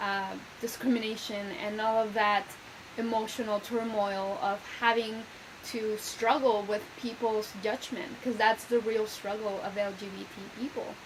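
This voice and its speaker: Flat, monotone speech comes at a fairly slow pace with a Spanish accent, against noticeable background noise and audible room echo. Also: woman, fairly high pitch for a woman. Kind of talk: video lecture. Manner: conversational, with many fillers.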